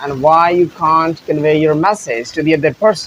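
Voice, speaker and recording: Against noticeable background noise, a man with a Pakistani accent speaks at a moderate pace. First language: Punjabi. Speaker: English teacher. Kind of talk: tutorial.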